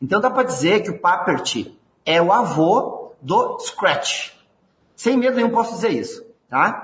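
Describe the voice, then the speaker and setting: A man with a Rio Grande do Sul accent at a fairly slow pace. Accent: gaúcho. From southern Brazil, Rio Grande do Sul. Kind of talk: interview.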